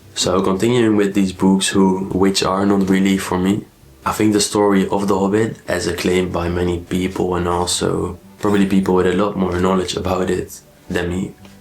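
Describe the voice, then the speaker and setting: A man speaks at a moderate pace in a very deep, low voice with monotone, flat intonation. Noticeable background noise runs underneath. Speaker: book vlogger. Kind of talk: casual book review vlog.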